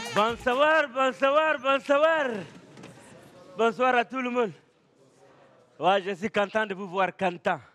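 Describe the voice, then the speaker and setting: Against noticeable background noise, a man with an extremely high pitch speaks very slowly with lively intonation and long, frequent pauses. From Chad, N'Djamena. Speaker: stand-up comedian. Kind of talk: stand-up.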